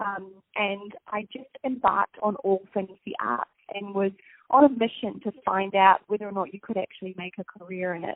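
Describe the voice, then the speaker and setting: Speaking with a New Zealand accent, a woman talks at a fairly quick pace. Her voice sits at medium pitch. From New Zealand, Napier. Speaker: TV host. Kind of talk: interview. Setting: phone call.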